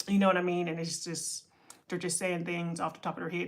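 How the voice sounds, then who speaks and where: This woman has a fairly low pitch and talks with an American accent. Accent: Pittsburgh accent (noted by viewers). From Pittsburgh, Pennsylvania (US). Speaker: content creator and entrepreneurship coach. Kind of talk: casual livestream talk. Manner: rambling, with many fillers and restarts.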